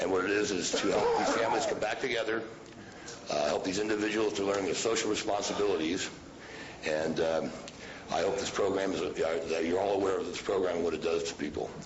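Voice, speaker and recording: Talking at a very fast pace, a man is heard over noticeable background noise with audible room echo. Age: 50s. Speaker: public commenter. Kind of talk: public comment. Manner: halting.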